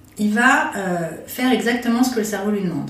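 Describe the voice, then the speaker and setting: Amid noticeable background noise and audible room echo, a woman speaks with a fairly high pitch and ordinary pitch variation. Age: 40s. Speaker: phototherapist. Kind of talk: interview.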